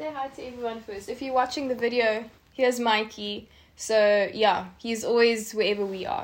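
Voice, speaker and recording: A woman speaks at a moderate pace in an unremarkable speaking voice, pitched fairly high. Her loudness swings widely, while her pitch varies in an ordinary way. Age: 30s. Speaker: podcast co-host, model and holistic health coach. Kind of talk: casual chat. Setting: home recording with lapel mics.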